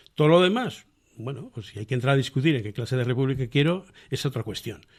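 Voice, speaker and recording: A man speaks at a medium pitch with ordinary pitch variation and a somewhat breathy quality. The recording is very clean, with a silent background. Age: 70s. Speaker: republican association member. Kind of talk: radio interview. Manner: halting.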